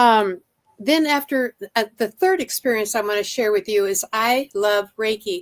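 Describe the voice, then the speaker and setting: With an ordinary speaking voice, a woman talks at a moderate pace and a fairly high pitch, her pitch varying in an ordinary way, in a dry, close sound with no echo. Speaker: psychic channeler. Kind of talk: testimony.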